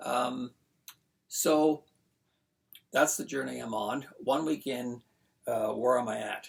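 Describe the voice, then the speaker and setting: A man speaks at a very slow pace with a medium pitch and vocal fry. His intonation stays fairly even, broken by long, frequent pauses. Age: 60s. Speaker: beginner guitarist vlogger. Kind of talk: casual video diary. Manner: halting, many fillers.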